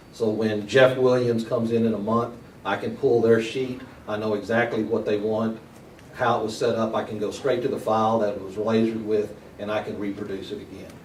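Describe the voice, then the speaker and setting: Amid noticeable background noise and audible room echo, a man speaks at a fairly quick pace with a medium pitch and monotone, flat intonation. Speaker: seminar presenter, shop owner. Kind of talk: seminar talk. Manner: fast.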